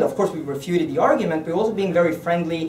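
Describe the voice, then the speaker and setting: Audible room echo and noticeable background noise surround a man speaking at a high pitch with ordinary pitch variation. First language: Norwegian. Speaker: politician. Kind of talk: political speech. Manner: halting.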